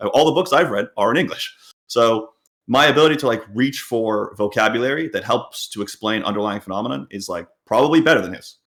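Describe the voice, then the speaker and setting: Here a man talks at a fairly quick pace with lively intonation. His pitch is medium. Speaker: poker coach and podcast co-host. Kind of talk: casual chat. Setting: live stream. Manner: fast.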